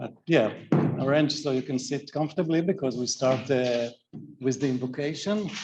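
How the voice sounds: This man has a medium pitch and a slightly mellow tone. He talks at a moderate pace with ordinary pitch variation.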